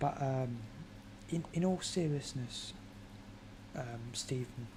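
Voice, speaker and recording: A woman whispers very slowly with a British accent. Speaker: football fan streamer. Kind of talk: casual chat. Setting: live stream at home. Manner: whispering.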